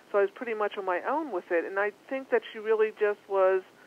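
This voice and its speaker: A fairly quick woman's voice in a Philadelphia accent, medium in pitch, with ordinary pitch variation. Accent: East Coast (Philadelphia). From Philadelphia, US East Coast. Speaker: psychic medium. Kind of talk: interview.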